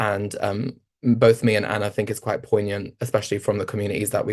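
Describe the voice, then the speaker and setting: The voice is monotone, with flat intonation, at a moderate pace. The background is quiet. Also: man. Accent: London. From East London. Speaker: researcher and panelist. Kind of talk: panel discussion. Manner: halting, many fillers.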